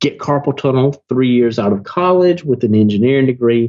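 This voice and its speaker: Speaking with a Southern US accent at a fairly quick pace, a man at a medium pitch makes very wide pitch swings. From US South. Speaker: online marketer, business owner. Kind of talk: podcast interview. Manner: animated.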